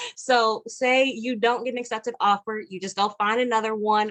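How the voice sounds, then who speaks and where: This woman speaks with a fairly high pitch. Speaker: realtor. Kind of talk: online presentation. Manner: fast.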